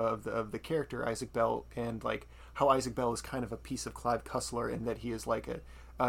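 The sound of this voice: This is an unforced reading voice. Nothing else is marked.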